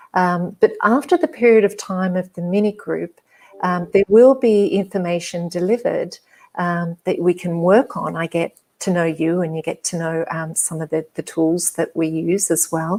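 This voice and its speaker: A woman's fairly low, dark, mellow voice with an Australian accent. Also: ordinary pitch variation, moderate pace. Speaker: hypnotherapist and psychologist. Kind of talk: interview. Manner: soft-spoken; hesitant, many fillers.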